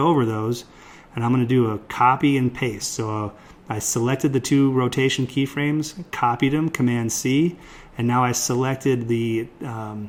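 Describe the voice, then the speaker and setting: A man with a normal speaking voice talks at a moderate pace in a medium pitch, his intonation fairly even. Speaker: software tutorial instructor. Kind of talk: tutorial. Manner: casual, many fillers.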